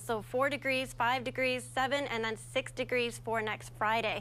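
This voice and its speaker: This woman speaks at a moderate pace in a high pitch. Her tone is bright, sharp and upbeat. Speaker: TV news reporter and weather anchor. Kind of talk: TV weather forecast presentation. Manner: upbeat, friendly, conversational.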